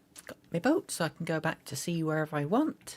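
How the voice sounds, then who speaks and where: With an English Midlands accent, a woman speaks at a moderate pace on a very clean recording with a silent background. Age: 40s. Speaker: gaming streamer. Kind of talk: live gameplay stream chat. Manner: halting, stumbling over words; mumbling.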